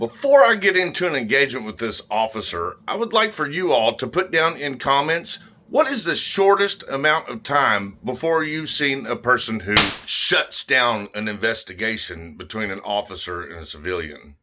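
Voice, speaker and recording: A loud man at medium pitch talks at a moderate pace with hardly any pauses. His pitch swings very widely, and background noise is noticeable. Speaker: YouTuber filming police interactions. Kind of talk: confrontational on-camera exchange.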